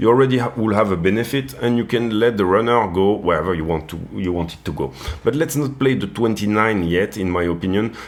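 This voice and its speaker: Speaking with a French accent, a man uses lively intonation and hardly any pauses. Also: fairly low pitch for a man. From France. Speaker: crypto trading youtuber. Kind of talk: market analysis tutorial. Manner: hesitant, many fillers and repeats.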